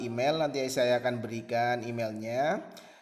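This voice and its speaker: Audible room echo and noticeable background noise surround a man's medium-pitched voice with ordinary pitch variation. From Central Java, Pekalongan. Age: 20s. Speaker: Indonesian language teacher. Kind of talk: online class introduction to students. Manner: hesitant, with frequent fillers.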